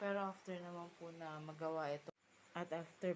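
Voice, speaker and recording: A woman's very deep, low pitch at a moderate pace. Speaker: vlogger and field representative. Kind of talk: casual home vlog. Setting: at home.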